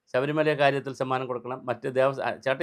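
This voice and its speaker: This man has an unremarkable speaking voice at a medium pitch. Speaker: political commentator. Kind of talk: political commentary monologue. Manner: sarcastic, mocking.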